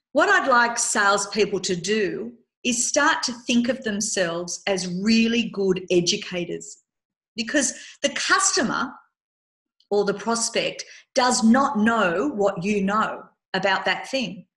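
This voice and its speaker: At a fairly slow pace, a woman with an Australian accent speaks at a fairly high pitch with ordinary pitch variation. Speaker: business consultant podcast host. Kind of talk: casual chat.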